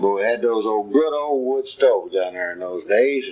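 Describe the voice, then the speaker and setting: With a Central Texas accent, a man talks at a fairly slow pace and medium pitch with ordinary pitch variation, over noticeable background noise. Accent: Central Texas rural Southern. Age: 70s. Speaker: retired farmer. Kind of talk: oral history recording. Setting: at home. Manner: slow, rambling with fillers.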